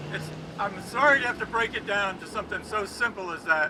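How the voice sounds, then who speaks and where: Fairly quick, high-pitched male speech amid noticeable background noise. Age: 80s+. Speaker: protest speaker. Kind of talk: rally speech.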